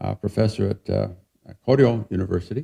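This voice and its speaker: In a Western US accent, a man talks at a moderate pace with vocal fry and a fairly low pitch. His tone is dark and mellow, with a dry, close sound and no echo. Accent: American, Western US. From Utah, near Salt Lake City. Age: 70s. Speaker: professor. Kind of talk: lecture. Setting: museum talk with audience.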